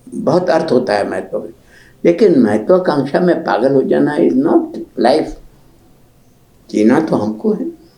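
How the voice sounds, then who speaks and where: Over noticeable background noise, a man speaks in a high pitch with very wide pitch swings. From Pratapgarh, Rajasthan, India. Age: 90s. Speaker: writer and literary scholar. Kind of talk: interview answer.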